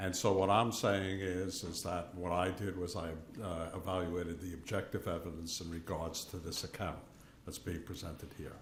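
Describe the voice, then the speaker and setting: Amid audible room echo, a man with a very deep, low pitch talks at a moderate pace in a monotone, flat intonation. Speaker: forensic pathologist, expert witness. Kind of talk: witness testimony. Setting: courtroom. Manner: loud.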